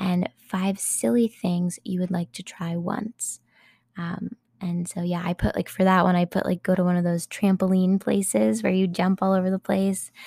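Speaking at a fairly slow pace, a woman has a fairly low pitch, a dark, mellow tone, a somewhat breathy quality and ordinary pitch variation. The very clean recording has a silent background and a dry, close sound with no echo. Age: 20s. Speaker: podcast host. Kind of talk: casual chat.

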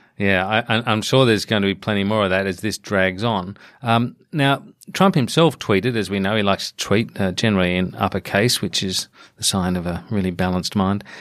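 A man speaks with an Australian accent at a fairly quick pace and ordinary pitch variation. The recording is very clean, with a silent background. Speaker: podcast host. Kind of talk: interview discussion.

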